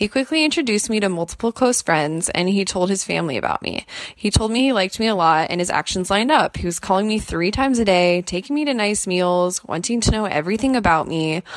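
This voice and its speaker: With a medium pitch and lively intonation, a woman talks very fast, hardly pausing at all. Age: 20s. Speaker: caller. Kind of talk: voicemail question.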